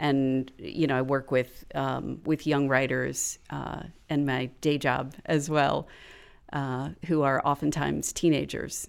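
On a very clean recording with a silent background, a woman with an American accent speaks very slowly in a very deep, low pitch, with vocal fry and monotone, flat intonation. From Florida. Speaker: podcast writer and educator. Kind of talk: casual interview chat.

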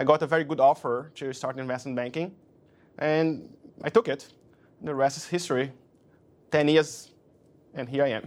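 With a Portuguese accent, the speaker keeps a moderate pace, taking long, frequent pauses, with ordinary pitch variation. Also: man, fairly high pitch for a man. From Brazil. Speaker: investment banker. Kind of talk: interview. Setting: office.

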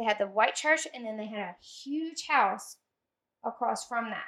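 Bright and sharp in tone, a woman talks at a high pitch with lively intonation in a Louisiana accent. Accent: Southern US, Louisiana. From US South, Louisiana (Zachary). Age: 30s. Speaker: podcast guest. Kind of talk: casual chat.

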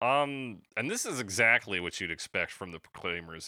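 On a very clean recording with a silent background, a man speaks at a moderate pace with a bright, sharp tone. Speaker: podcast host. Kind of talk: casual chat.

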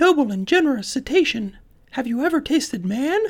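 A put-on character voice, high-pitched and fairly quick, on a very clean recording with a silent background. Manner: smart, cunning.

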